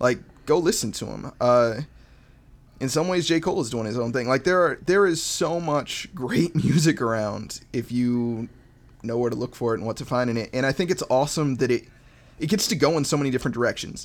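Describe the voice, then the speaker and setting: A man talks at a fairly quick pace with an American accent. He has a plain, everyday voice and ordinary pitch variation. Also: medium pitch for a man. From Montana, US. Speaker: rapper. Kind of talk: casual chat.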